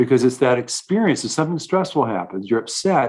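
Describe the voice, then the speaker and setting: A man talks with a fairly high pitch and very wide pitch swings. The background is quiet. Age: 70s. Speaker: clinical neuropsychologist and author. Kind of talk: interview. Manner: many repetitions and false starts.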